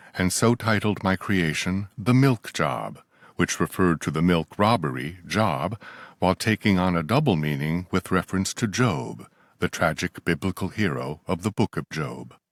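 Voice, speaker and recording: A man with a very deep, low pitch and vocal fry talks at a moderate pace with lively intonation, in a very clean recording with a silent background and a dry, close sound with no echo. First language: not English. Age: 60s. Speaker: author. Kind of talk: reading aloud. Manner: formal.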